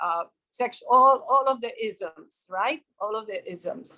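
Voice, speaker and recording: Speaking very slowly, a woman with a Puerto Rican accent has a bright, sharp tone. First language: Spanish. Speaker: developmental psychologist, professor. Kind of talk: interview.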